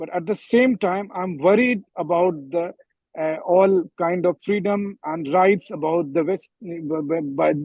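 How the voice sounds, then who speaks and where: The speaker has an Indian accent and talks at a very slow pace. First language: Hindi. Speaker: journalist. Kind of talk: panel discussion. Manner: halting, many fillers.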